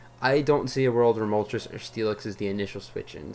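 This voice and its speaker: With ordinary pitch variation, a man's voice sits at a medium pitch. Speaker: gaming youtuber. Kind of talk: gameplay commentary. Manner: fast; frequent fillers.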